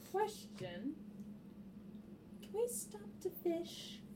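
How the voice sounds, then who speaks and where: Over clear background noise, a woman speaks in a put-on character voice at a medium pitch. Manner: gruff, touchy, threatening.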